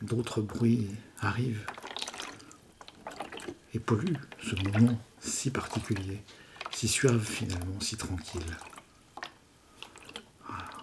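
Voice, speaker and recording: A man's calm, gentle tone at a fairly low pitch, very slow pace and long, frequent pauses, over noticeable background noise. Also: ordinary pitch variation. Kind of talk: whispered ASMR story. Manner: whispered, calm, gentle.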